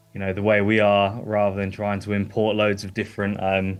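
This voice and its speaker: A man's fairly low voice with an English accent. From eastern England, Lowestoft. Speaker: gymnastics club owner, livestream guest. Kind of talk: casual chat. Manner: hesitant, many fillers.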